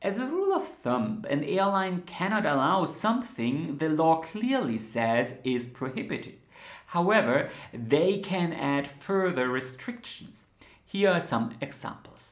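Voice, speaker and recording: Over a quiet background, a man's voice carries audible room echo. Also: fairly slow pace. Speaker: knitting channel host. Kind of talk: explainer to camera. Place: home room.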